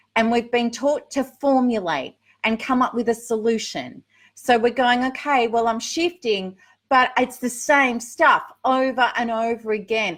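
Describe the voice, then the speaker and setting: A woman with an Australian accent speaks at a fairly slow pace in a high voice, on a very clean recording with a silent background. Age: 50s. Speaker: recovery coach. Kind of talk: live Q&A. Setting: livestream. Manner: casual, chatty.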